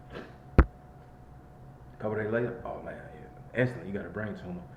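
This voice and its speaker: A man speaks with an American accent. There is audible room echo along with noticeable background noise. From Chicago, Illinois. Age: 30s. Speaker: vlogger. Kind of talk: casual monologue vlog.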